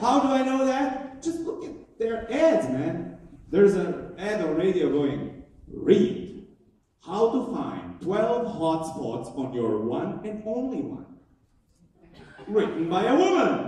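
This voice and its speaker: Very wide pitch swings at a very slow pace, with audible room echo. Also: man, high pitch for a man. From Croatia. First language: Croatian. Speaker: comedian. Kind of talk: stand-up. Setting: stage with audience.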